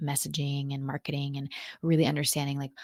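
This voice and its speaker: Her voice is a woman's, pitched very deep and low. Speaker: podcast host, marketing strategist. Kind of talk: solo podcast monologue. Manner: casual, conversational.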